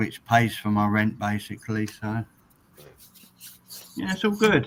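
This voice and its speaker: A man with an English accent, speaking at a fairly slow pace. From England. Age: 60s. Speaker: retired truck driver. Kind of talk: casual chat.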